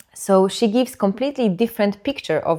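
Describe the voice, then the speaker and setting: A woman's medium-pitched voice with a non-native accent, ordinary pitch variation and a moderate pace. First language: not English. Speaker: birth educator. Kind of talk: educational talk. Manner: halting, with repetitions and fillers.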